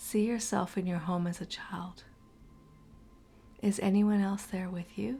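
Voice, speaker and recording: Woman at medium pitch with a calm, gentle tone, fairly even intonation, a fairly slow pace, long, frequent pauses, and music in the background. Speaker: guided meditation host. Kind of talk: guided meditation. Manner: calm, slow, gentle.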